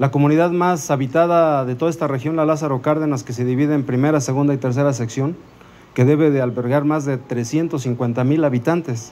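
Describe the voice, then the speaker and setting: Keeping his intonation fairly even, a man moves along at a fairly quick pace. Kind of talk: public speech. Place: garden. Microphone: handheld.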